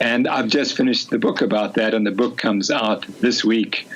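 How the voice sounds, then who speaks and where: Over noticeable background noise, a man with a fairly low pitch talks at a moderate pace in a monotone, flat intonation. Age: 60s. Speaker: sports scientist and physician. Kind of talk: podcast interview.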